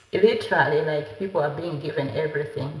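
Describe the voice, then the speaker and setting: With noticeable background noise and audible room echo, a woman speaks in a very deep, low-pitched voice. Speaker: lifestyle vlogger. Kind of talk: casual chat. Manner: hesitant, many fillers.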